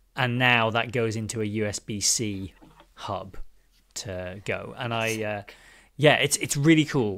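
Words come fairly slowly. They are spoken in a British accent. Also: man. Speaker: podcast host. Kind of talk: casual interview chat. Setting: remote call with studio mic.

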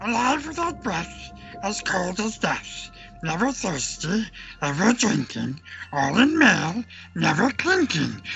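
Over clear background music, a man uses a put-on character voice at a fairly slow pace. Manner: hissing, whispering; talks to himself as my precious.

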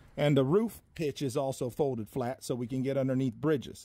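At a fairly quick pace, a man talks in a dark, mellow tone with a Southern US accent. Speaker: cabin salesman. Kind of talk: tour guide walkthrough and sales pitch, talking to the camera. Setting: filming on location, outdoors and inside a cabin. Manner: casual, upbeat, chatty; folksy, friendly, rambling.

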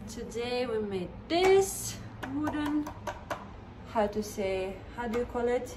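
Over audible room echo, a woman talks at a slow pace in a fairly high pitch with lively intonation.

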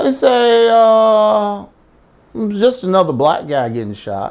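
An angry, high-pitched male voice with very wide pitch swings. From US. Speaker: satirical news ranter. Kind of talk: angry rant, satirical commentary. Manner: angry, emphatic, repetitive; sarcastic, mocking. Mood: angry, indignant.

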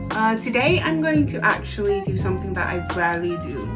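Clear background music plays throughout. Over it, a woman talks at a moderate pace. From Fiji. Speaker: beauty vlogger. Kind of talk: casual talk to camera. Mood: friendly, relaxed. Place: home room. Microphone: phone near.

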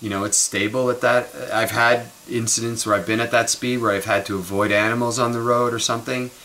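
A man with a Canadian accent speaks at a fairly quick pace in a monotone, flat intonation. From Montreal, Canada; Quebec, Canada. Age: 50s. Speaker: vlogger. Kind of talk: casual monologue vlog. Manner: rambling, conversational. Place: kitchen. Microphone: webcam.

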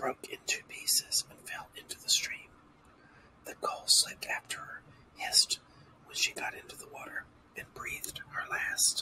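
Moderately paced whispering from a man. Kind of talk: fairy tale reading for sleep. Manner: whispered; soft-spoken.

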